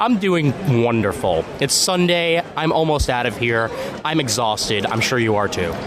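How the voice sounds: A man at medium pitch makes very wide pitch swings while his loudness stays very even, against noticeable background noise. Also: moderate pace.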